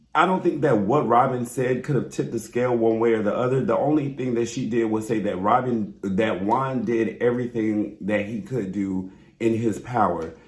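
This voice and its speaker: The voice is animated, moving at a moderate pace with hardly any pauses and ordinary pitch variation. Audible room echo surrounds it. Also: man, medium pitch for a man. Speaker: reality TV recap YouTuber. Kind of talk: casual vlog review.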